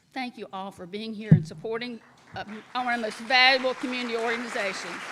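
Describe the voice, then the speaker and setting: Crowd noise fills the background as the speech races at a very fast pace. Pitch varies in an ordinary way, while loudness swings widely. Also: woman, fairly high pitch for a woman. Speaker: award honoree. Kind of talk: acceptance speech.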